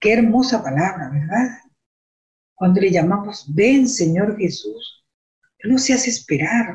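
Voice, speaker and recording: A somewhat breathy woman of medium pitch speaks at a fairly slow pace with long, frequent pauses. Her intonation is lively, and her loudness stays very even. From Venezuela. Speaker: church lay teacher. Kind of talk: religious teaching.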